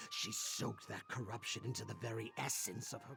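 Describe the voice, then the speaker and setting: A man's put-on character voice over clear background music. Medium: video game.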